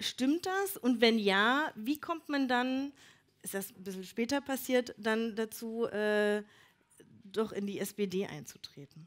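With lively intonation and a fairly high pitch, a woman speaks at a very slow pace. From Elbe-Elster, Brandenburg. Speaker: event moderator. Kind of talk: live event moderation.

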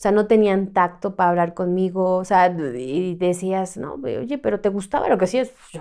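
A woman talks at a moderate pace with hardly any pauses and lively intonation. Her tone is dark and mellow, and the background is quiet. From Mexico City. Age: 30s. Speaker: trafficking survivor; podcast guest. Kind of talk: testimony. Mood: serious, recounting trauma. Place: studio. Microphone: studio mic.

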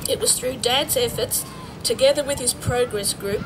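A woman's voice at a moderate pace with ordinary pitch variation, over noticeable background noise. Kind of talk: formal speech. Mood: warm, reminiscent. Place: open country.

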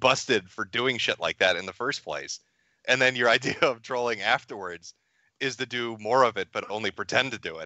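Using a normal speaking voice, a man talks at a moderate pace and medium pitch. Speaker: internet commentator guest on a livestream. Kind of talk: crude trolling banter on a livestream. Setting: remote call into a livestream. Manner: profane, mocking trash-talker.

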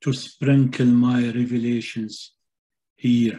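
A man with an Arabic accent, very slow delivery, dark and mellow in tone. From Palestinian, grew up in Syria. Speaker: poet and translator. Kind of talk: poetry reading. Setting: video call. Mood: calm, reflective. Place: home room. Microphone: webcam.

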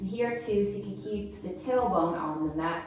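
A woman speaks at a moderate pace in strong room echo, with faint music in the background. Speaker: yoga instructor. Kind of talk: instruction. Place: home room.

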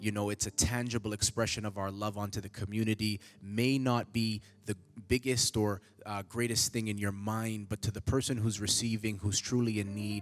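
Monotone and flat, a man's fairly low voice moves at a moderate pace. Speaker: church announcer. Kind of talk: church announcements. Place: church. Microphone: handheld.

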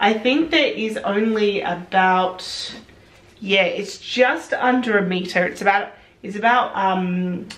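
Intonation here is lively. Delivery moves at a very slow pace. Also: woman. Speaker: sewing vlogger. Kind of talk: casual vlog chat. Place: home room.

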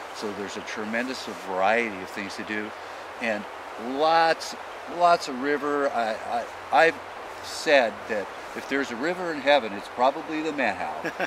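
There is noticeable noise in the background as a man talks with long, frequent pauses, the sound itself dry and free of echo. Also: moderate pace. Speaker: fishing show host. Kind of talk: TV show commentary. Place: forest.

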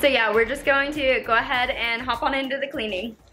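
Faint music plays in the background. A woman speaks at a moderate pace with ordinary pitch variation. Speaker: homemaking vlogger. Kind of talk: casual vlog chat. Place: home room. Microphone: phone near.

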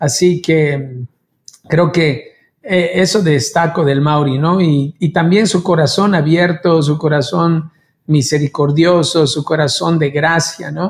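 A man speaks very slowly at a fairly high pitch. His loudness stays very even and his intonation fairly even. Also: quiet background. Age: 50s. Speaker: worship leader; pastor, podcast host. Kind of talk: casual chat. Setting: video call. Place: studio.

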